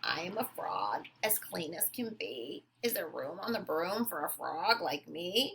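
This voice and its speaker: In a put-on character voice, a croaky, female-sounding voice at a middle pitch talks at a fairly slow pace with hardly any pauses. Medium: read story.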